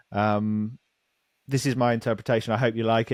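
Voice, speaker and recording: Here a man speaks in a British accent at a fairly quick pace. His pitch is medium, and the recording is very clean with a silent background. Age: 30s. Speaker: actor. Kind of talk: casual chat.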